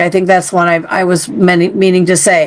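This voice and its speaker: This woman speaks at a fairly quick pace with a medium pitch. There is noticeable background noise. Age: 60s. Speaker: podcast host. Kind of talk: interview conversation.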